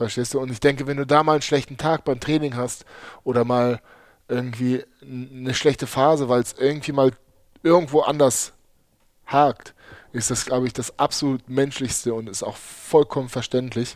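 A man's medium-pitched voice holds a monotone, flat intonation throughout. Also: moderate pace. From Germany (Berlin, Heidelberg area), born in Uzbekistan. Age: 30s. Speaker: handball player. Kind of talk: casual chat.

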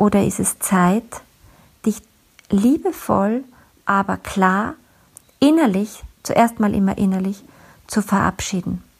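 Somewhat breathy, a woman speaks at a very slow pace with long, frequent pauses. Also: medium pitch for a woman, ordinary pitch variation. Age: 40s. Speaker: podcast host, communication coach. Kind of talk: solo podcast monologue.

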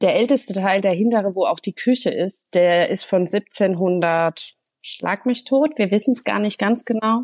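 An ordinary speaking voice with ordinary pitch variation comes through on a very clean recording with a silent background, dry and close with no echo. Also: woman, medium pitch for a woman. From Germany, Hesse near Frankfurt. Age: 30s. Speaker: make-up artist and home renovator. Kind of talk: interview.

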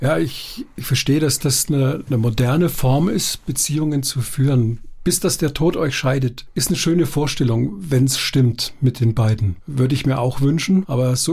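A man of medium pitch speaks at a moderate pace with ordinary pitch variation. His tone is dark and mellow, somewhat breathy. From southwestern Baden-Württemberg. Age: 60s. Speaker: university lecturer and coach. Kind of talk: casual chat. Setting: studio.

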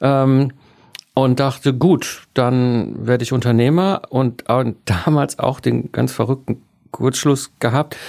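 At a very slow pace, a man talks in a dark, mellow tone at a medium pitch. His pitch varies in an ordinary way, and his loudness stays very even. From Ruhr area, Germany. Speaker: entrepreneur, systems engineer. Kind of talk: interview.

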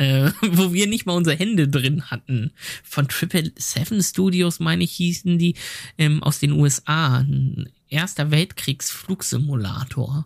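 A man's fairly high, somewhat breathy voice at a fairly slow pace, with ordinary pitch variation, very even loudness, and a dry, close sound with no echo. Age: 30s. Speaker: game producer. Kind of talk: casual chat.

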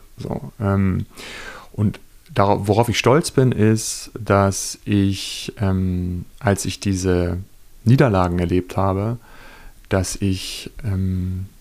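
A man talks with a fairly low pitch and fairly even intonation. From Lower Saxony, Germany. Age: 30s. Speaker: journalist and author. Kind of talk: interview. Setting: hotel reading room.

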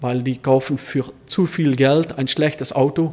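At a fairly slow pace, a man with a Dutch Limburg accent speaks at a fairly high pitch. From Netherlands, Limburg border region. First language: Dutch (speaking German). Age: 50s. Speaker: classic car dealer. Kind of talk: casual interview.

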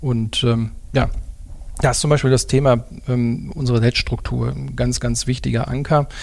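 This man talks at a moderate pace, leaving long, frequent pauses. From Ruhr area, Dortmund. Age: 40s. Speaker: car dealership executive. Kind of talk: interview. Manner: hesitant with many fillers.

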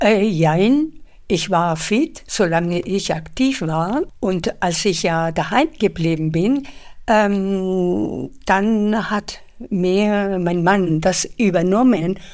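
A woman talks at a very slow pace. Her medium-pitched voice has ordinary pitch variation. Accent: Spanish. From Spain. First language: Spanish (speaking German). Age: 70s. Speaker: retired bank employee and translator. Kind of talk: interview conversation.

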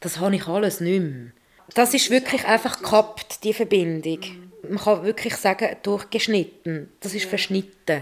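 In a normal speaking voice, a woman talks at a moderate pace and medium pitch, with ordinary pitch variation. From Switzerland, Zurich. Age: 40s. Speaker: environmental educator and garden writer. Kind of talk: personal interview.

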